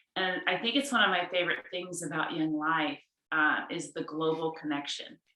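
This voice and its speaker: A woman speaks at a moderate pace with an American accent, in an unremarkable speaking voice. Her pitch is fairly low, with ordinary variation. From California. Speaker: youth ministry staff. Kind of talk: casual video call conversation.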